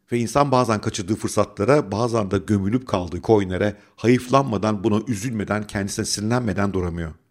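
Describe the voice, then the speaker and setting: A man with a normal speaking voice, fairly low-pitched with ordinary pitch variation, talks at a fairly quick pace with hardly any pauses in a very clean recording with a silent background. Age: 50s. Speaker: finance YouTuber and investment educator. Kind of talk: scripted monologue.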